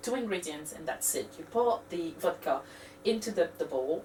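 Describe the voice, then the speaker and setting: With a French accent, a woman speaks at a fairly slow pace. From France. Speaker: cooking video host. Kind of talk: tutorial. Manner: halting, many fillers.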